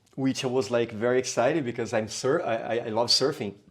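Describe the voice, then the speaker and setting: The speaker has a Brazilian Portuguese accent. Pitch varies in an ordinary way. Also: man. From Brazil, São Paulo. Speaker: capoeira teacher. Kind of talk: podcast interview. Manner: halting, many fillers.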